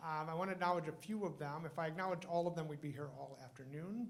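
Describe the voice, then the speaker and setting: Audible room echo surrounds a man who speaks at a very fast pace with a fairly high pitch and fairly even intonation. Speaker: emergency physician hosting award ceremony. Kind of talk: ceremony speech. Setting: stage with audience, microphone.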